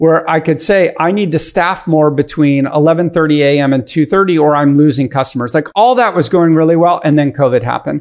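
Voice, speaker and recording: A man in a normal speaking voice, fairly high-pitched, with ordinary pitch variation. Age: 50s. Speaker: venture capitalist. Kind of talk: casual chat.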